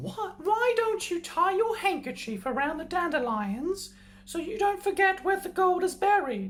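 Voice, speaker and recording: A man puts on a character voice pitched extremely high, talking at a moderate pace. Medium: read story. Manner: crafty.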